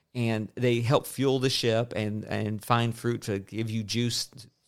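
A man's medium-pitched voice in a monotone, flat delivery at a fairly slow pace, in a very clean recording with a silent background. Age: 30s. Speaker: podcast host. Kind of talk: casual chat.

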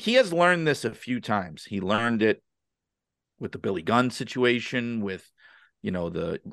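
Against a quiet background, a man with an American accent talks at a moderate pace and medium pitch, using lively intonation and long, frequent pauses. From New York City (Brooklyn). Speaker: wrestling author and podcaster. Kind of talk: podcast interview.

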